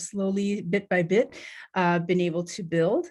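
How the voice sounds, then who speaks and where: In a Canadian accent, a woman talks at a moderate pace with a medium pitch and a somewhat breathy voice. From Canada, Northern Ontario. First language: Tibetan. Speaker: nonprofit co-founder, panel speaker. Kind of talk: panel presentation. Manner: halting, many fillers.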